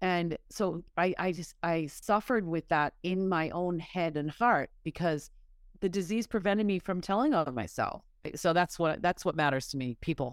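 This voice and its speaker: On a very clean recording with a silent background, a woman speaks with an American accent in an unremarkable speaking voice. Her pitch is fairly low, with ordinary variation and a moderate pace. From US Northeast, Massachusetts. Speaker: person in recovery. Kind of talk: interview.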